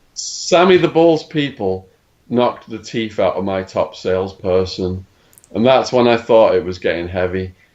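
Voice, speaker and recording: At a moderate pace, the speaker uses very wide pitch swings with an English accent. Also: man, medium pitch for a man. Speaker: former drug dealer telling his life story. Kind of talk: podcast interview, storytelling. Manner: animated.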